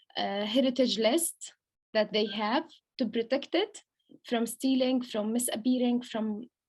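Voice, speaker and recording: A woman with a Palestinian accent speaks at a fairly slow pace in a fairly high pitch, with ordinary pitch variation. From Palestine. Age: 20s. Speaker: lawyer and food heritage researcher. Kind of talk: online presentation. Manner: halting, many fillers.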